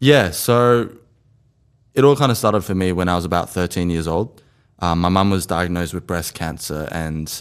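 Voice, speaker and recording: On a very clean recording with a silent background, a man with an Australian accent speaks at a very deep, low pitch. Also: ordinary pitch variation, moderate pace. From Australia, Sydney inner west. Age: 20s. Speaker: mental health storyteller. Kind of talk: interview.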